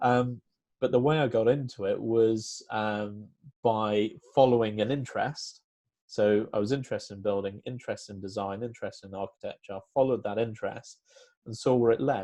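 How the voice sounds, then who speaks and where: Over a quiet background, a man talks at a fairly quick pace in a medium pitch, his tone dark and mellow and his intonation fairly even. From northern England, Lancashire. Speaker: town planner. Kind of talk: interview. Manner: hesitant, many fillers.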